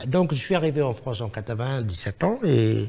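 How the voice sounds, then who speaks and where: Somewhat breathy and dark, mellow in tone, a man's medium-pitched voice moves at a fairly slow pace with lively intonation. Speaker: singer. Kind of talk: TV interview.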